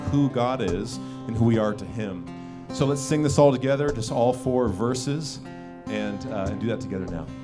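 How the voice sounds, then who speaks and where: A man talks at a moderate pace with ordinary pitch variation while clear music plays in the background. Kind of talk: welcome address to a congregation. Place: stage. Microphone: handheld.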